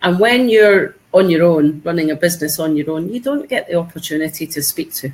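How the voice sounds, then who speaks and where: A woman with a Scottish accent talks at a fairly quick pace in a very deep, low voice. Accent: Scottish, noticeable. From Scotland. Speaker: online tutor. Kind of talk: video call interview. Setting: video call. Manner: chatty, enthusiastic.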